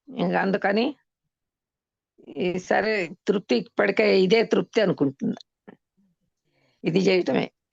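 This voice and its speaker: A woman with a medium pitch speaks with lively intonation and vocal fry. The sound is dry and close with no echo, and the loudness stays very even. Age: 80s+. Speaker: spiritual program participant. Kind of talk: testimonial interview answer.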